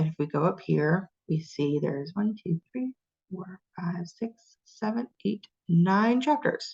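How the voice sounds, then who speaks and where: With a somewhat breathy voice at medium pitch, a woman talks at a fairly slow pace with lively intonation, in a dry, close sound with no echo. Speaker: college course instructor. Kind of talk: lecture.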